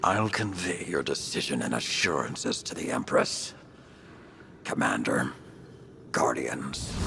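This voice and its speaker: In a cartoonish character voice pitched very deep and low, a man talks at a fairly slow pace with long, frequent pauses over clear background noise. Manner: formal, reserved.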